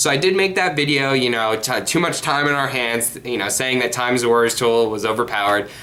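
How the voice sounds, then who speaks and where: Fairly quick speech with hardly any pauses, over noticeable background noise and audible room echo. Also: man, medium pitch for a man, ordinary pitch variation. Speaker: card game youtuber. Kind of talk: casual monologue vlog. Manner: halting, many fillers and repeats.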